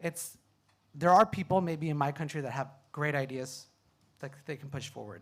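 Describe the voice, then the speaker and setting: Someone speaks in a Californian accent at a moderate pace, somewhat breathy, with ordinary pitch variation, on a very clean recording with a silent background. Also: man. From California, US. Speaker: PhD student, climate panelist. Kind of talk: panel discussion. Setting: stage with audience.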